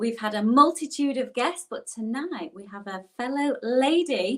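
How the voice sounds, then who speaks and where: Her Yorkshire accent carries lively intonation as this woman speaks. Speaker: online show host. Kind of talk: interview. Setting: live online broadcast.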